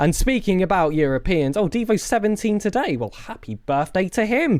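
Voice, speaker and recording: At a moderate pace, someone talks with a British accent on a very clean recording with a silent background. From Britain. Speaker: esports caster. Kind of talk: live commentary. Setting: live stream. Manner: animated.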